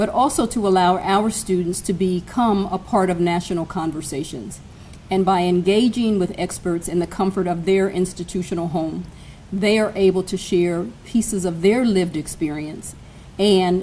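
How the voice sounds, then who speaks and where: A woman with a dark, mellow tone and ordinary pitch variation speaks at a moderate pace, with light background noise. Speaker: college administrator host. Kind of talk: formal welcome speech. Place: hall. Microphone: podium.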